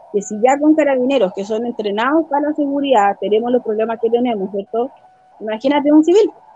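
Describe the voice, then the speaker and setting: At a fairly quick pace, the speaker uses ordinary pitch variation against noticeable background noise. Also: woman. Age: 30s. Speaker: local council candidate and radio presenter. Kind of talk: interview.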